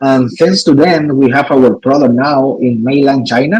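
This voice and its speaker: A man speaks with a non-native accent in a fairly high pitch and a dark, mellow tone. His pace is moderate, and the sound is dry and close with no echo. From Cuba. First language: Spanish. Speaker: cigar maker. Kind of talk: interview. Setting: live stream. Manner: halting.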